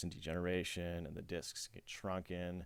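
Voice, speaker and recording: Mumbling at a moderate pace, a man speaks in a very deep, low voice. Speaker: chiropractor. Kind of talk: educational presentation. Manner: halting.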